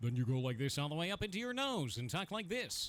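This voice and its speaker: Putting on a nasal character voice, a man talks at a very fast pace with a high pitch and very wide pitch swings. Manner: vocal range demonstration.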